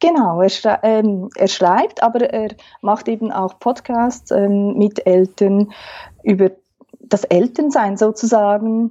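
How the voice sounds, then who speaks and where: A woman speaks at a very slow pace in a fairly high pitch, with ordinary pitch variation. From Switzerland, Aargau. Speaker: family therapist. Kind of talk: interview.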